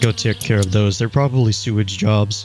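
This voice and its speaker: Against noticeable background noise, a man speaks quietly at a fairly low pitch with fairly even intonation. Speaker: YouTube gamer. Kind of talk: let's play commentary. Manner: quieter and careful.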